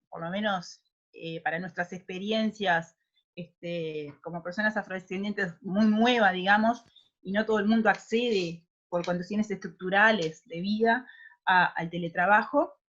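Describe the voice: Speaking at a moderate pace, a woman has a medium pitch, a fairly bright tone and ordinary pitch variation.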